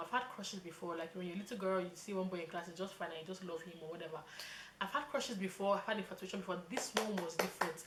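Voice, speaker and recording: A woman's voice over noticeable background noise. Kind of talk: casual chat. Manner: fast.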